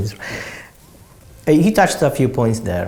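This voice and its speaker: This speaker, with an Italian accent, talks at a fairly quick pace. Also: man. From Italy. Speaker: property investor. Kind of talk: interview answers. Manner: halting, with repeated words.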